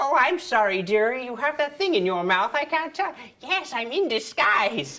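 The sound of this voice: Someone uses a put-on character voice at a high pitch and a moderate pace.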